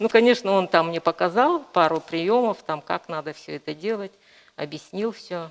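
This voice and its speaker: With a fairly low pitch and ordinary pitch variation, a woman speaks at a moderate pace. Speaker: painter. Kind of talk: interview. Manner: hesitant, many fillers.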